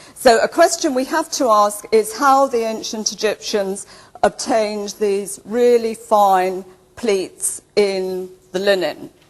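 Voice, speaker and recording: The speech moves at a very slow pace. Its intonation is lively. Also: woman, fairly high pitch for a woman. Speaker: archaeology lecturer. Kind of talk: lecture. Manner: loud.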